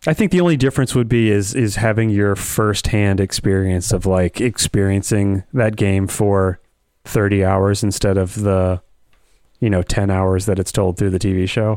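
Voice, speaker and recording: An ordinary speaking voice at a moderate pace with very even loudness. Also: man, fairly low pitch for a man, fairly even intonation. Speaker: podcast host. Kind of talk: casual banter podcast chat. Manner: joking, sarcastic.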